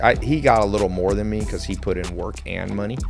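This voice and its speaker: A man at a fairly quick pace over clear music in the background. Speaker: podcast guest. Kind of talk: interview answer. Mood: amused, storytelling. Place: studio. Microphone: studio mic.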